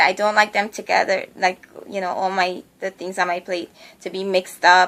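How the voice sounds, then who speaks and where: A woman speaks in a bright, sharp tone. The recording is very clean, with a silent background. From Guyana. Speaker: beauty vlogger. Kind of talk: casual vlog monologue. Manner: many fillers and hesitations.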